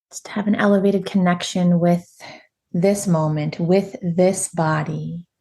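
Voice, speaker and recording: A woman speaks in a calm, soothing, dark and mellow tone that is somewhat breathy. Her medium pitch stays monotone and flat. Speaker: meditation guide and women's empowerment coach. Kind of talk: guided meditation. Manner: slow, calm, soothing.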